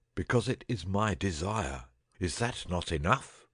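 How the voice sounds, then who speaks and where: A man's put-on character voice, croaky and very deep, with lively intonation at a moderate pace. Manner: feeble, croaking, imperious.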